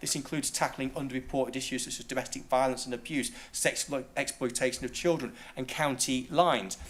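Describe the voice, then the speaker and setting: A man's very fast speech at a medium pitch, with hardly any pauses and fairly even intonation. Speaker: local councillor. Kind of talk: council debate speech.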